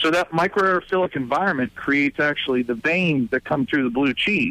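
In a plain, everyday voice, a man with an American accent talks at a fairly quick pace, his fairly high pitch carried by lively intonation. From Pittsburgh area, Pennsylvania. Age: 30s. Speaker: brewery owner. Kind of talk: interview.

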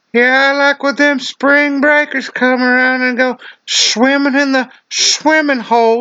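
A put-on character voice, high-pitched and flat in a monotone, at a fairly slow pace

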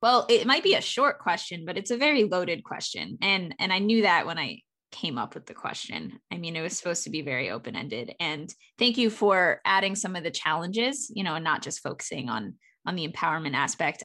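Speaking at a fairly quick pace with vocal fry, a woman uses a medium pitch and a bright, sharp tone, her loudness swinging widely and her pitch swinging very widely. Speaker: podcast host. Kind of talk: interview.

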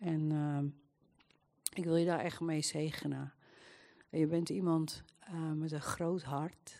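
A woman's very deep, low voice, dark and mellow in tone, monotone and flat, at a very slow pace with long, frequent pauses. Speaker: churchgoer giving prophetic words.

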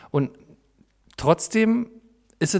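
A man is speaking. His intonation is lively. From East Berlin (Lichtenberg). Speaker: podcast host. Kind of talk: casual chat.

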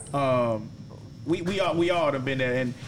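Over noticeable background noise, a man speaks at a medium pitch and a moderate pace, with ordinary pitch variation. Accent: American. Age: 30s. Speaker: podcast host, barber. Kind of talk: casual chat.

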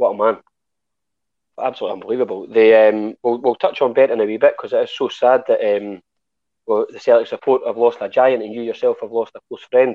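In a Scottish accent, the speaker talks at a very fast pace with big swings in loudness. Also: man. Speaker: podcast host. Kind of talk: interview. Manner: formal.

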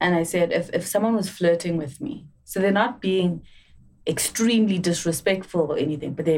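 With an unremarkable speaking voice, a woman talks at a moderate pace with a fairly low pitch and lively intonation. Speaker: actuary and entrepreneur.

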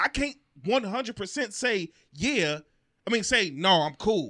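In a very clean recording with a silent background, a man with a high pitch uses a raised, projected voice, bright and sharp in tone, with lively intonation. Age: 30s. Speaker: podcast co-host. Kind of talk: casual chat.

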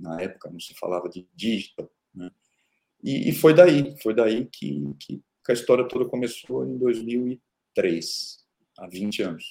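A man speaks at a very slow pace in a dark, mellow tone with vocal fry, his pitch swinging very widely and his loudness rising and falling sharply. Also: medium pitch for a man. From Brazil, interior of São Paulo state (Araraquara). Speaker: tech company founder and CEO. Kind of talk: interview. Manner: hesitant with frequent repetitions.

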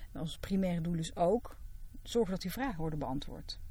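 A somewhat breathy woman's voice at medium pitch. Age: 40s. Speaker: psychologist. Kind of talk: casual chat.

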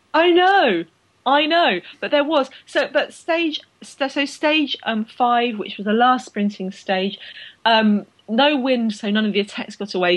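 A woman with an English accent speaks at a fairly high pitch. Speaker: cycling podcast host. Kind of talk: casual banter chat.

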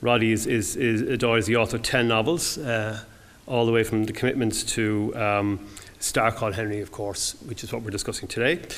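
With an Irish accent, a man talks at a fairly quick pace, his medium-pitched voice keeping a fairly even intonation. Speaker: event host. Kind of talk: introduction speech. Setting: stage with audience.

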